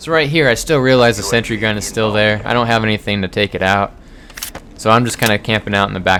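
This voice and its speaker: A man's very fast delivery, with ordinary pitch variation, sits over noticeable background noise. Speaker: gaming youtuber. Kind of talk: gameplay commentary. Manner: quiet; casual, halting with fillers.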